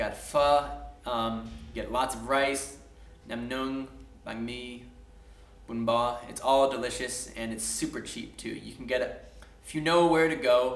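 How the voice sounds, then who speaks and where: A man with an American accent at a fairly slow pace, with long, frequent pauses, big swings in loudness and audible room echo. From US, Washington D.C. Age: 20s. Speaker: English teacher. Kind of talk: casual video message. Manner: casual, with fillers and restarts.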